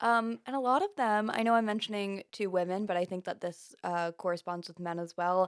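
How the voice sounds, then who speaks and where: A woman speaks in a normal speaking voice with an American accent, her medium pitch moving with ordinary variation at a fairly quick pace, with hardly any pauses, in a dry, close sound with no echo. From Pennsylvania, US. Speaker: podcast host. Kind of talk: interview.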